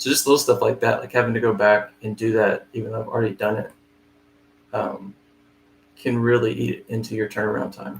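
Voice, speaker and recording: Speaking at a fairly quick pace with long, frequent pauses, a man uses ordinary pitch variation. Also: medium pitch for a man. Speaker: flooring estimator. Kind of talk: live screen-share tutorial. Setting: live stream, no camera. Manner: fast.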